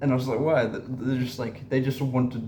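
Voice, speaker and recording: A man speaks fairly slowly in a medium-pitched, somewhat breathy voice. His tone is dark and mellow, with audible room echo. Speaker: spiritual content creator. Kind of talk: casual monologue vlog. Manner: halting, many fillers and repetitions.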